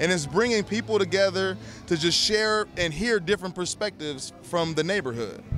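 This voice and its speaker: Over music in the background, a man with a high pitch talks with lively intonation in a Southern Californian accent. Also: moderate pace. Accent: Southern California American. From Pasadena, California. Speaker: documentary filmmaker. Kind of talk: casual interview. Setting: indoor event, live stream.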